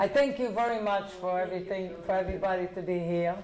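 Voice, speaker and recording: A woman's medium-pitched voice at a moderate pace, with audible echo in the room. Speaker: author and inspirational speaker. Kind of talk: talk with audience Q&A. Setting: library event with audience.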